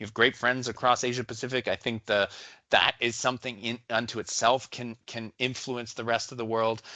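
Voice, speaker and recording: With a Canadian accent, a man speaks at a fairly quick pace in a bright, sharp tone, the sound dry and close with no echo against a quiet background. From Canada. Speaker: medical researcher. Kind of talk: conference talk.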